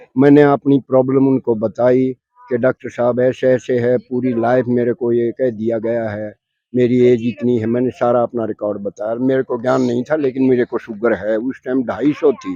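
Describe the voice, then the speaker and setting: In a dry, close sound with no echo, a man at a medium pitch talks in a monotone, flat way with hardly any pauses. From Haryana, Rohtak. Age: 70s. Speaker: patient giving testimony. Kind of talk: testimony.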